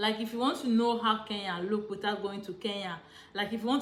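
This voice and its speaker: A woman speaks with a Nigerian accent. Audible room echo is heard in the recording. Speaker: travel vlogger. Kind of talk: casual vlog monologue. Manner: hesitant, many fillers.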